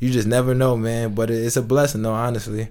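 At a fairly quick pace, a man with an American accent speaks in a medium pitch and a flat monotone, with audible room echo. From New York. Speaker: professional basketball player. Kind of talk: casual interview.

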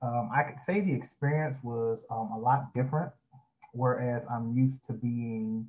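A man with an American accent talks at a moderate pace and medium pitch. His voice is somewhat breathy, with ordinary pitch variation. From Florida, Jacksonville. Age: 20s. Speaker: pastor. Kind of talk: interview.

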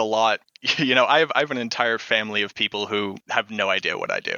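The speaker is a man with an American accent. His voice sits at a medium pitch. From Boston, Massachusetts, US. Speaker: Twitch streamer. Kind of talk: casual interview. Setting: video call.

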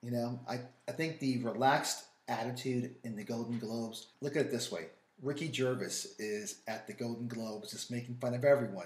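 Speaking in a New York accent, a man keeps a medium pitch and a fairly quick pace with ordinary pitch variation. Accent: New York, drops th sounds. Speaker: wine and food podcast co-host. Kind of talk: casual chat.

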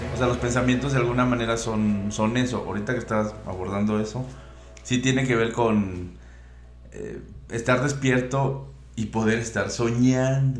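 Audible room echo surrounds a man talking at a moderate pace, medium in pitch with ordinary pitch variation. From Veracruz, Mexico (coastal). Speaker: independent music composer and producer. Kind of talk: casual chat.

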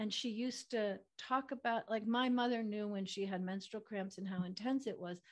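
With an ordinary speaking voice, a woman talks at a moderate pace. Her pitch is fairly high and her intonation fairly even. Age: 50s. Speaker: physician and intimacy coach. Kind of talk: interview conversation.

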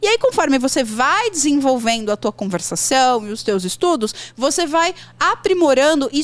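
Very wide pitch swings from a woman speaking at a moderate speed. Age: 40s. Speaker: English teacher. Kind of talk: casual chat.

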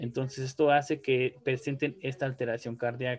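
A man speaks in a normal speaking voice. His intonation stays fairly even at a moderate pace. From Mexico. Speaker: neuropsychologist and researcher. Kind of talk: interview. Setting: video call.

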